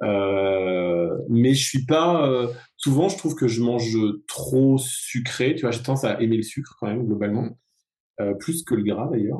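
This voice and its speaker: At a moderate pace, a man with a medium pitch speaks in a dark, mellow tone with ordinary pitch variation. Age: 40s. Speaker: ultra runner and yoga teacher. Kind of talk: casual chat. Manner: halting.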